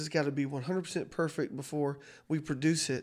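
A man with a Southern US accent, very fast and fairly high-pitched, in a very clean recording with a silent background. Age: 30s. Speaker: pastor. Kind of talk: casual chat.

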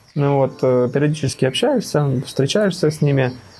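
Ordinary pitch variation at a moderate pace, noticeable background noise underneath. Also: man. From Donetsk, eastern Ukraine. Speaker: emigrant, former factory director. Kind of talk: interview.

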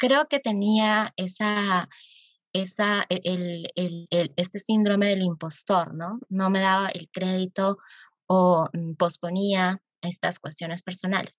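A woman speaks at a very slow pace with ordinary pitch variation, her voice dry and close with no echo over a quiet background. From Arequipa, Peru. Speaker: youth activist and nonprofit founder. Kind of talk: interview conversation. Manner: halting with many fillers.

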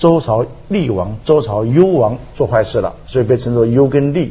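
A man with a medium pitch keeps a moderate pace as noticeable background noise runs underneath. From Taiwan. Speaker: philosophy professor. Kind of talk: talk show discussion.

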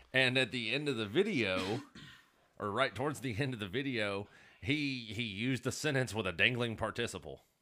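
A man with an Alabama accent speaks in a bright, sharp tone. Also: medium pitch for a man, ordinary pitch variation, moderate pace. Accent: Southern US (Alabama). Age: 30s. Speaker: podcast co-host, former Marine. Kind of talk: casual chat.

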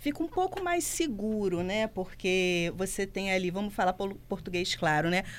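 A woman with an ordinary speaking voice talks at a fairly slow pace, with hardly any pauses. Her pitch is medium with ordinary variation, and her loudness stays very even. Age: 40s. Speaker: career commentator. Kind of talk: radio talk show. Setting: studio.

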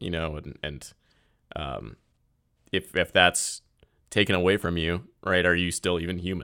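A man's very deep, low voice with a bright, sharp tone and vocal fry, at a moderate pace with ordinary pitch variation, in a very clean recording with a silent background. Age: 20s. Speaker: podcast host. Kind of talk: casual chat.

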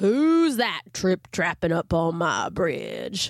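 A gravelly, female-sounding put-on character voice is heard. It moves at a very slow pace. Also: medium pitch for a woman. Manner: gruff, menacing.

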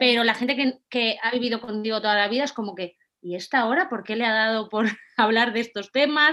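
A woman's bright, sharp voice sits fairly high, with ordinary pitch variation. She talks at a fairly quick pace. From Spain, Valencia. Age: 30s. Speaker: content creator and office worker. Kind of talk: interview.

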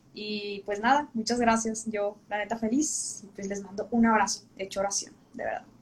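Over noticeable background noise, a woman speaks at a moderate pace with a fairly high pitch and fairly even intonation. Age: 20s. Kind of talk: casual interview on a livestream.

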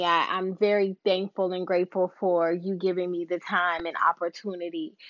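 A woman speaks in an ordinary speaking voice at a medium pitch. Her pace is fairly slow. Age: 40s. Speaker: podcast host. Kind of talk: casual monologue.

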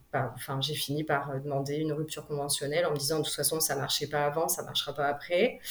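A woman speaks over noticeable background noise. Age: 30s. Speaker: single mother. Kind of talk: personal testimony interview. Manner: hesitant, many fillers.

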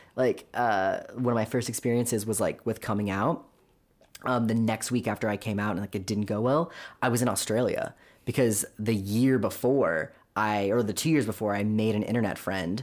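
In a very clean recording with a silent background, a man with a Californian accent talks at a moderate pace with fairly even intonation. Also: medium pitch for a man. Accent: Californian American. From Southern California, Orange County. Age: 20s. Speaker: podcast guest sharing personal story. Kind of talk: casual interview testimony. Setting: studio, in person.

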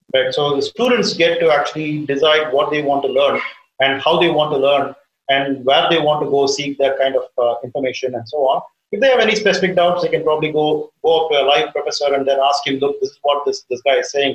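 Very fast, fairly high-pitched male speech with ordinary variation in pitch. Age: 50s. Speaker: aerospace engineering professor. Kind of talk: interview.

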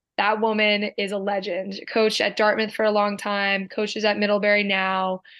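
A woman talks with an American accent in a monotone, flat intonation. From New Jersey (Medford). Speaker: former college lacrosse player. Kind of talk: casual interview.

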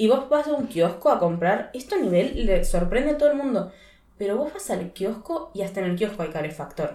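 The voice has a dark, mellow tone and very wide pitch swings. It moves at a fairly quick pace. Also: woman, medium pitch for a woman. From Argentina, Río Gallegos (Patagonia). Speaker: podcast co-host. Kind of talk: casual chat.

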